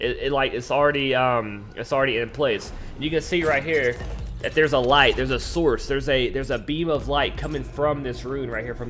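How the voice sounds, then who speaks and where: A man delivers his words at a fairly quick pace while music plays in the background. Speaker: gaming youtuber. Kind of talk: gameplay commentary. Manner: fast; animated.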